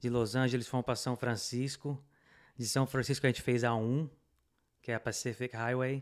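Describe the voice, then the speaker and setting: Over a quiet background, a man at medium pitch speaks in a monotone, flat intonation with long, frequent pauses. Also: moderate pace. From Brazil. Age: 30s. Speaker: immigrant business owner and motorcyclist; podcast guest. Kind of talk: casual interview chat. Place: studio. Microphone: studio mic.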